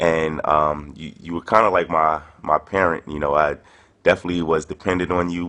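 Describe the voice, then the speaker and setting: A man's very deep, low voice in a New York accent, fairly quick in pace, with fairly even intonation. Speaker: touring performance poet. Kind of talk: casual spoken video message. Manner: hesitant, many fillers.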